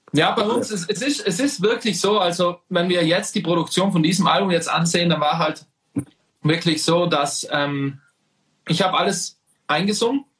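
A man's high-pitched voice at a moderate pace, with very even loudness. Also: ordinary pitch variation. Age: 20s. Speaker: band singer. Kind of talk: casual chat. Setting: livestream.

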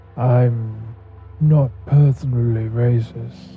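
Over faint background music, a man of medium pitch uses a put-on character voice. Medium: actual play. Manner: smooth, self-important, serious.

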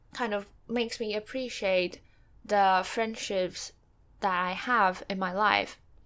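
Speaking fairly slowly, a woman keeps a medium pitch and fairly even intonation. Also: very clean recording, silent background. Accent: Mandarin. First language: Mandarin. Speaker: book podcaster. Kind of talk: solo reflective monologue. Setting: home recording with background noise. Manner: hesitant, many fillers.

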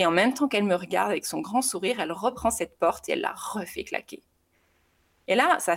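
A woman's medium-pitched voice with very wide pitch swings and a very fast pace. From southern France. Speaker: mother sharing experience. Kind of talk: casual interview testimony. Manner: hesitant, many repetitions.

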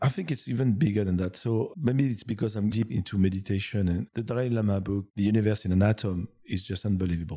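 Speech comes at a very fast pace in a French accent. The tone is dark and mellow, with ordinary pitch variation. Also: man, fairly low pitch for a man. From France. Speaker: business executive. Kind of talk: casual interview.

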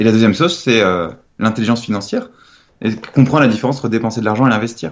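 A man is speaking. His pace is very fast. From France, Nantes. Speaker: entrepreneur and author. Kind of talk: interview. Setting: remote call. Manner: hesitant, casual with fillers.

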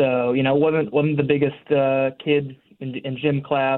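Speaking with an American accent, this man keeps his pitch medium. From Connecticut. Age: 20s. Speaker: para rower. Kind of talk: interview.

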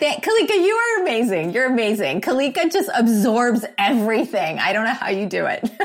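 Against noticeable background noise, a woman speaks at a fairly quick pace and fairly high pitch in an animated tone, with very wide pitch swings, very even loudness, and hardly any pauses. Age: 50s. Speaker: podcast co-host and life coach. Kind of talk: podcast interview.

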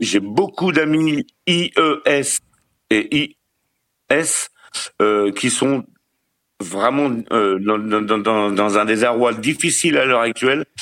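Very slowly and with long, frequent pauses, a man speaks with lively intonation at very even loudness. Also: medium pitch for a man. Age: 50s. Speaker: caller to a relationship advice show. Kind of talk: casual chat.

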